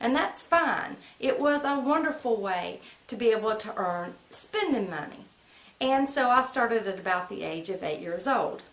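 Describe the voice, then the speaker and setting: Speaking at a moderate pace with an American accent, a woman with a fairly high voice swings her pitch very widely, with audible room echo and noticeable background noise. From US South, central North Carolina (Moore and Lee County). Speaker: vlogger. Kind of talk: personal storytelling to camera. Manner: casual, conversational.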